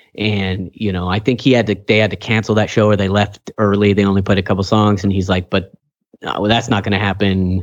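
A man with an American accent, fairly low pitched and monotone, flat, at a fairly quick pace over a quiet background. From California Central Valley, Kingsburg. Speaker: podcast host. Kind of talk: casual chat.

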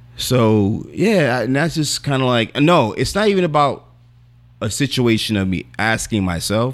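With an animated tone, a man speaks at a medium pitch and swings his pitch very widely. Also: moderate pace. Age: 40s. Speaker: podcast host. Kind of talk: casual banter podcast. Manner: animated, profane.

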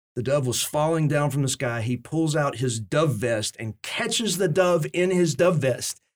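Here is a man with a normal speaking voice. His pitch variation is ordinary. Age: 40s. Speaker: pastor. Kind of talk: casual chat. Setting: studio.

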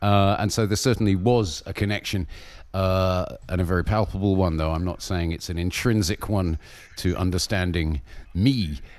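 The speaker has a southern English accent and talks at a moderate pace. The pitch varies in an ordinary way. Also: man, very deep, low pitch for a man. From southern England, Berkshire. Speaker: Buddhist monk. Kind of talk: interview. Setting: remote call.

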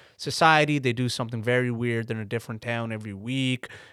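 On a very clean, dry, close recording with no echo and a silent background, a man speaks in an ordinary speaking voice at a medium pitch with ordinary pitch variation. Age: 20s. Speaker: stand-up comedian. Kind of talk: casual chat. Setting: studio.

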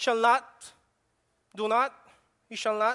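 The speaker talks at a fairly slow pace with a Filipino accent. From Philippines. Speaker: preacher. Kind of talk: sermon. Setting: church. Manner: halting, with frequent fillers.

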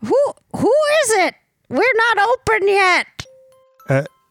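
Faint music plays in the background as a put-on character voice speaks very slowly at an extremely high pitch.

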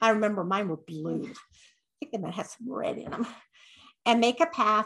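A woman speaks in a plain, everyday voice with an American accent. Her pace is moderate, her pitch variation ordinary, and the background quiet. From Utah, Draper. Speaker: podcast co-host. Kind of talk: casual chat.

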